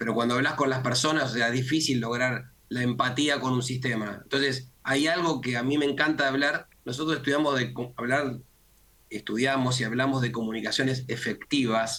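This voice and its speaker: Bright and sharp in tone, a man speaks at a medium pitch in a Rioplatense accent with fairly even intonation. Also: moderate pace, very even loudness. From Argentina. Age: 60s. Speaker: communication consultant. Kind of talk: interview.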